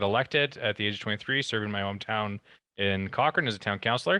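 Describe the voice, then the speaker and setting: The speech comes at a very fast pace in a western Canadian accent, with a bright, sharp tone. The background is quiet. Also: man. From Alberta, Canada. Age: 30s. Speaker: town councillor. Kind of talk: presentation.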